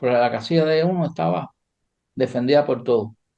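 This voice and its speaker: Here a man speaks at a fairly quick pace with ordinary pitch variation. His tone is dark and mellow. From Cuba. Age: 80s+. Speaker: chess grandmaster. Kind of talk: interview. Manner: casual, storytelling.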